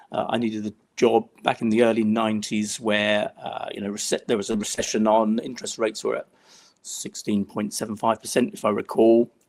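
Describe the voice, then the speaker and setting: A man with an English accent speaks in a flat monotone. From England. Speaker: travel risk management executive. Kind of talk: interview conversation. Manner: hesitant, many fillers.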